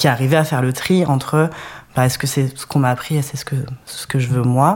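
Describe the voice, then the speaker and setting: The speech comes at a very fast pace over noticeable background noise. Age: 30s. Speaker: web developer, DJ. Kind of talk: testimony.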